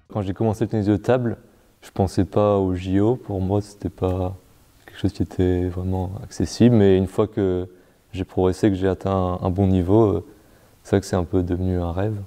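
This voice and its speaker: Over a quiet background, a man with a very deep, low pitch and a dark, mellow tone speaks at a moderate pace in a monotone, flat delivery. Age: 20s. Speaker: para table tennis player and engineering student. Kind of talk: interview. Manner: halting, many fillers.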